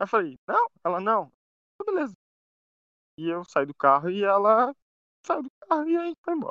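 A man speaks at a moderate pace in a bright, sharp tone, his pitch swinging very widely, with a dry, close sound and no echo. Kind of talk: casual chat.

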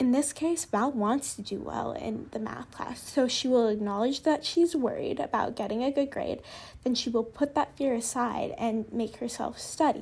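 A woman speaks at a moderate pace with a high pitch. Her pitch varies in an ordinary way. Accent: American. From Southern California. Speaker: podcast host. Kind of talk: scripted-sounding podcast monologue.

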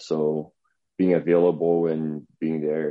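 In a Portuguese accent, a man talks in a very deep, low voice with monotone, flat intonation. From Brazil. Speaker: strength and conditioning coach. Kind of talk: interview.

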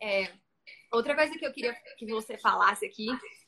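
Her voice is fairly high-pitched with a bright, sharp tone and ordinary pitch variation, marking a woman speaking. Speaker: live stream host for photographers. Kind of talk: interview on live stream.

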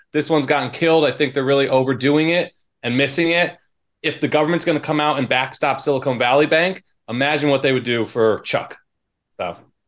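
In a normal speaking voice, a man with a fairly high pitch talks at a fairly quick pace with fairly even intonation, recorded very cleanly against a silent background. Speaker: market analyst. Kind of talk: casual chat.

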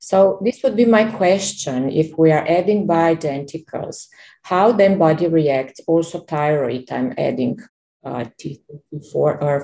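Speaking at a fairly slow pace, a woman with a plain, everyday voice uses lively intonation at a fairly low pitch. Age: 50s. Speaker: program member asking questions. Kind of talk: question in group call.

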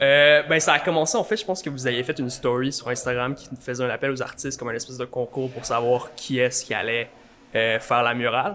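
A man talks at a fairly quick pace and medium pitch. He has an ordinary speaking voice with ordinary pitch variation. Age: 20s. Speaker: art student, muralist. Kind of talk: casual chat. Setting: coffee shop.

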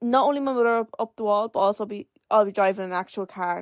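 A woman speaks at a moderate pace in an animated tone with ordinary pitch variation. The recording is very clean, with a silent background and a dry, close sound with no echo. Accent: Irish. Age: 20s. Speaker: podcast host. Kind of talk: casual solo chat.

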